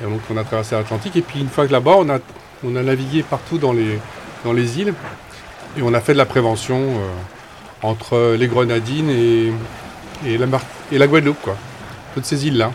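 Noticeable background noise accompanies a man who talks fairly quickly at a medium pitch, with ordinary pitch variation and long, frequent pauses. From Brittany, Saint-Malo. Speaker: boat skipper. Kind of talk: casual interview.

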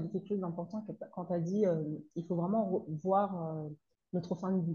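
This woman has a dark, mellow tone at a medium pitch, somewhat breathy, with fairly even intonation. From Comoros. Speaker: consultant and trainer on parenting teenagers. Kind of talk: interview. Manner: halting.

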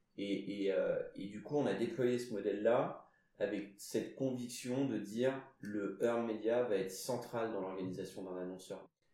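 Over audible room echo, a man speaks slowly, at a fairly slow pace, with a fairly low pitch and fairly even intonation. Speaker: CEO of a PR agency. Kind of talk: casual interview.

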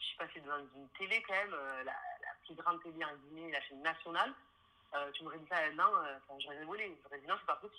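With a Toulouse accent, a woman talks at a fairly quick pace, her loudness swinging widely. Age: 20s. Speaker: interior designer. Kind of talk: interview.

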